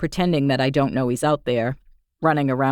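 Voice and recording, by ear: The background is quiet as this person is reading aloud in a natural voice.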